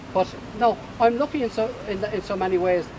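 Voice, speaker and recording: With an Ulster accent and ordinary pitch variation, a man talks over noticeable background noise. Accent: Irish (Cavan). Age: 60s. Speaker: campaigner, home help recipient. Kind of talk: protest statement.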